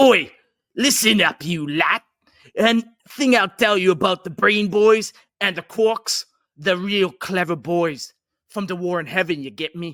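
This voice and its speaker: A man does a gruff, put-on character voice at a high pitch. He keeps a moderate pace broken by long, frequent pauses. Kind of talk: rough slangy speech. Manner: gruff storytelling.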